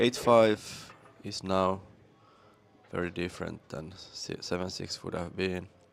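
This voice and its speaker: With a Finnish accent, a man speaks at a very deep, low pitch and a fairly slow pace, with fairly even intonation and long, frequent pauses. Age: 50s. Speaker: pool commentator and player. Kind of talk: live commentary.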